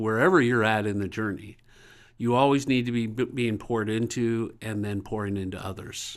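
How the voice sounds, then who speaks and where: On a very clean recording with a silent background, a man talks at a moderate pace. His pitch is medium and his intonation fairly even. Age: 60s. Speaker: nonprofit executive director and pastor. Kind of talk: interview. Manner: halting.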